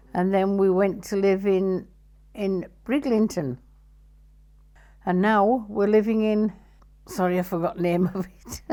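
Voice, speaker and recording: A woman with a Yorkshire accent speaks fairly slowly at a medium pitch, taking long, frequent pauses. Her pitch varies in an ordinary way, and the recording is very clean with a silent background. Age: 70s. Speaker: amputee interviewee. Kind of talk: testimony. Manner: halting.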